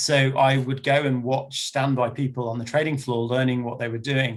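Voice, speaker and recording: A man with an English accent speaks at a fairly quick pace. His medium-pitched voice keeps a monotone, flat intonation. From England. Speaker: banker and panel speaker. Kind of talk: webinar panel talk. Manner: hesitant, many fillers.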